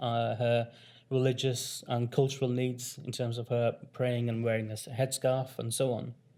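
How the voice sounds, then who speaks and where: A man speaks at a moderate pace in a medium-pitched voice with monotone, flat intonation. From northern England, Rochdale near Manchester. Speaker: community health founder and former carer. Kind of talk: conference workshop presentation. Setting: conference room with audience. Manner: soft-spoken. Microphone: too quiet at first, mic adjusted.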